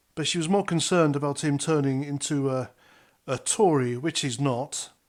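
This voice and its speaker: A normal speaking voice at a moderate pace. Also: man, very clean recording, silent background. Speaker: army veteran. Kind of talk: political commentary to camera. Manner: casual, conversational.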